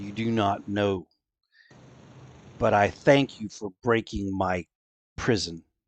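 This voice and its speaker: A man speaks in a put-on character voice, fairly low in pitch. His pace is fairly slow, with long, frequent pauses. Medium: actual play.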